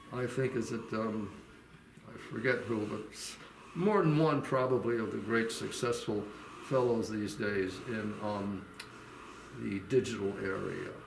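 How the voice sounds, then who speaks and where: Speaking at a moderate pace, a man is heard with noticeable background noise. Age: 80s. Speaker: retired steel company marketing director. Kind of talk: interview answer, casual advice to young people.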